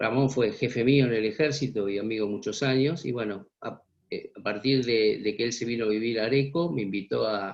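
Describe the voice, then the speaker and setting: A man talks in an ordinary speaking voice, medium in pitch, with ordinary pitch variation. He keeps a moderate pace with hardly any pauses. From Buenos Aires area, Argentina (Vicente López). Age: 60s. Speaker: journalist and former army intelligence officer. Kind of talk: interview.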